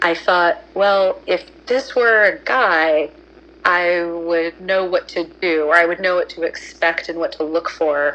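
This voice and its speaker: A woman speaks very slowly in a fairly low voice. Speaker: confessor telling anonymous story. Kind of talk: personal story. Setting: phone call.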